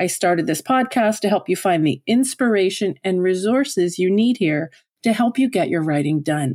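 Using a plain, everyday voice, a woman speaks at a medium pitch and a moderate pace with lively intonation and very even loudness. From Newfoundland, Canada. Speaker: podcast host and writing coach. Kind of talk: scripted podcast monologue.

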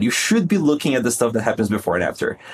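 A man speaks with a Portuguese accent. His intonation is lively. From Brazil. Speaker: conversion optimization consultant. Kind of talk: casual interview.

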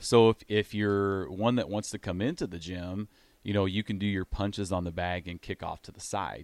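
The recording is very clean with a silent background and a dry, close sound with no echo. A man with an American accent speaks at a moderate pace and a fairly low pitch, with big swings in loudness. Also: fairly even intonation. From Iowa. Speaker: gym owner. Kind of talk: radio interview. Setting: studio.

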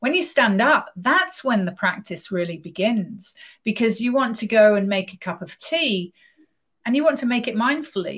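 A woman speaks at a fairly slow pace, somewhat breathy. Her pitch swings very widely. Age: 50s. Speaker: yoga teacher. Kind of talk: casual chat.

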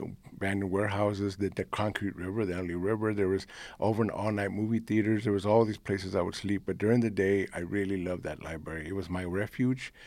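Very fast speech with a Spanish accent and fairly even intonation on a very clean recording with a silent background. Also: man, fairly low pitch for a man. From United States. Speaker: poet. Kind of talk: interview.

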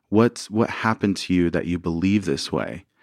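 A man with a plain, everyday voice and an American accent speaks at a fairly low pitch and fairly quick pace with ordinary pitch variation, the sound dry and close with no echo and the background quiet. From US South, rural Arkansas. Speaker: couples therapist. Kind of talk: interview. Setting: studio.

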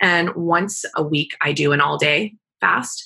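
A woman with an American accent, very deep and low in pitch, with ordinary pitch variation. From Kansas, US. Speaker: integrative cancer doctor. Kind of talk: interview.

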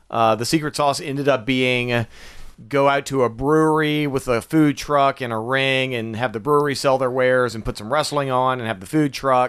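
At a moderate pace, a man talks in a normal speaking voice, medium in pitch, with fairly even intonation. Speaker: arena announcer and comedian. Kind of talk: casual chat.

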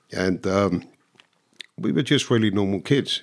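Ordinary pitch variation marks the moderate-paced speech of a man. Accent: London. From London. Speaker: former bank robber. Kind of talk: casual chat.

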